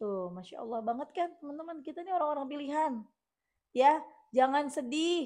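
A woman with a high-pitched, dark and mellow voice speaks at a fairly quick pace with lively intonation and big swings in loudness against a quiet background. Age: 30s. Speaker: religious YouTuber and author; religious YouTuber. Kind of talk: reading listener testimonials with commentary. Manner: casual chatty. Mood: warm, encouraging. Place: home room. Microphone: lapel.

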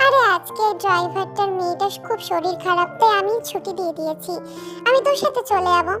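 Putting on a character voice, a woman speaks at a moderate pace while music plays clearly in the background. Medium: read story.

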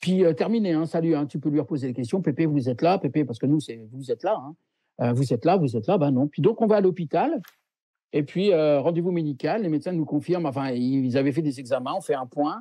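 Lively intonation marks a man speaking at a fairly quick pace, recorded with a dry sound with no echo and a quiet background. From France. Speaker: medium; interviewee. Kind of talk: interview. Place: home room. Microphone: video call.

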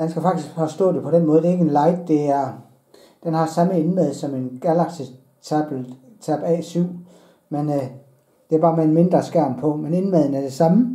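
The speech moves at a fairly slow pace. Room echo is audible against a quiet background. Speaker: hobby reviewer. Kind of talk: unboxing commentary. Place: home room.

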